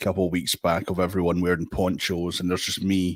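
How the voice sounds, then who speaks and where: A man with a Scottish accent speaks at a very deep, low pitch on a very clean recording with a silent background. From Scotland. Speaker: guest on a fan podcast. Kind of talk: casual chat. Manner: animated.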